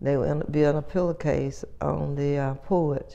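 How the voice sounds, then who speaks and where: In an American accent, the speaker talks at a very slow pace with a dark, mellow tone and monotone, flat intonation. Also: woman. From North Carolina, USA. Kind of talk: oral history interview answer.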